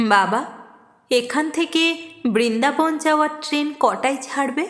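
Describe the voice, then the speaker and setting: Putting on a character voice, a woman speaks shaky and high at a very slow pace with ordinary pitch variation. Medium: read story.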